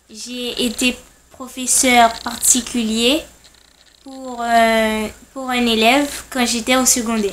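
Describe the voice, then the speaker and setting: A woman's high-pitched, monotone, flat delivery at a very slow pace, with long, frequent pauses and noticeable background noise. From Haiti. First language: Haitian Creole and French (speaking French). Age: 20s. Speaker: language tutor. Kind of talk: self-introduction video.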